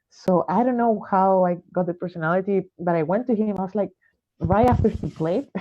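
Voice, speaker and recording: A woman speaks with a Spanish accent. Her pace is fairly quick. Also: medium pitch for a woman, ordinary pitch variation. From Chile. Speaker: jazz saxophonist. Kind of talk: interview. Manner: halting, many fillers.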